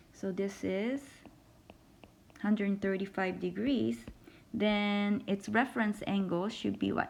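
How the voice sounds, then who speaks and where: A woman talks at a fairly slow pace and a medium pitch, with long, frequent pauses. Her pitch varies in an ordinary way. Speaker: math instructor. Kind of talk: lecture.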